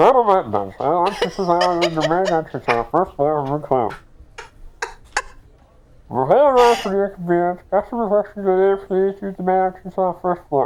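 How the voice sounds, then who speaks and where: In a put-on character voice at middle pitch, the speaker goes along at a moderate pace. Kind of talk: formal announcement.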